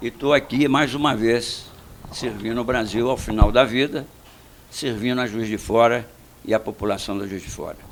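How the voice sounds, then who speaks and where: With noticeable background noise, a man speaks at a moderate pace with fairly even intonation and big swings in loudness. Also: medium pitch for a man. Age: 80s+. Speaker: retired general, mayoral candidate. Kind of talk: radio interview.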